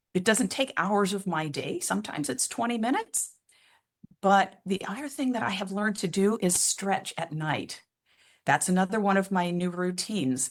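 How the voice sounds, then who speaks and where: A woman with an ordinary speaking voice talks at a medium pitch. Her pace is moderate and her intonation lively. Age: 60s. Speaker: wellbeing coach. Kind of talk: interview answer.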